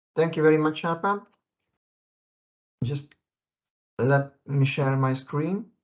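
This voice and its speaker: At a very slow pace and with long, frequent pauses, a man speaks with ordinary pitch variation. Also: fairly high pitch for a man. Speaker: software engineer presenter. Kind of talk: webinar presentation. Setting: video call. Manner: halting, many fillers.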